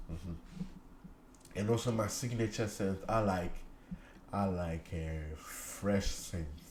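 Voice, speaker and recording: A man speaks very slowly in a very deep, low pitch, somewhat breathy, with fairly even intonation. Audible room echo surrounds the voice. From Ghana. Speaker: cleaning YouTuber. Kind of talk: casual vlog talk. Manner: repetitive, halting.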